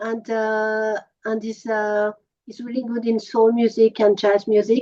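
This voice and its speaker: Recorded dry and close with no echo, a woman speaks at a moderate pace in a fairly high pitch. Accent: French. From France, Paris. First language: French. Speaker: musician. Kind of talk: interview. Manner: halting, many fillers.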